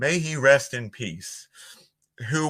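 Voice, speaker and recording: Someone with a Philadelphia accent talks at a fairly slow pace in a bright, sharp tone with lively intonation. The recording is very clean, with a silent background. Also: man. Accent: Philly. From Northeast Philadelphia, US. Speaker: voiceover artist. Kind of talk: podcast interview.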